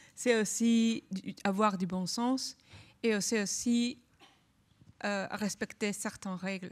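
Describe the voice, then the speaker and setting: Somewhat breathy, a woman with a non-native accent and medium pitch speaks very slowly, leaving long, frequent pauses. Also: fairly even intonation. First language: not French (speaking French). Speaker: labour law researcher, panelist. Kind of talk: panel discussion.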